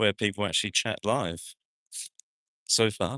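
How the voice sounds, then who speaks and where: A man with a fairly low pitch speaks at a very slow pace in a bright, sharp tone with fairly even intonation. The sound is dry and close with no echo, over a quiet background. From New Zealand, South Auckland. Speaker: actor and vlogger. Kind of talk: live-stream walking vlog. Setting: outdoors at a street festival, walking. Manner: casual, hesitant with many fillers.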